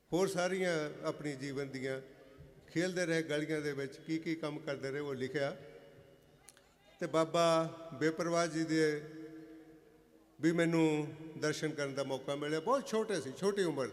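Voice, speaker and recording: A man speaks in a fairly high voice with fairly even intonation. He leaves long, frequent pauses. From Punjab, India (Jalandhar district village). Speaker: guest speaker, author. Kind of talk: speech at religious gathering. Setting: religious fair gathering, standing at a mic stand.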